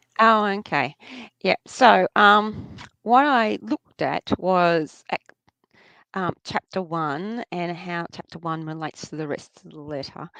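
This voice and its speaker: In an Australian accent, a woman talks fairly slowly at a fairly low pitch, her intonation lively and her tone bright and sharp, with big swings in loudness and a dry, close sound that has no echo. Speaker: New Testament scholar. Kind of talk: interview. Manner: halting, many fillers.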